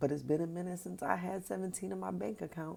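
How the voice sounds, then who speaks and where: At a moderate pace, the speaker's tone comes across dark and mellow. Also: woman. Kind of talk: testimony. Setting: early morning. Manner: soft-spoken.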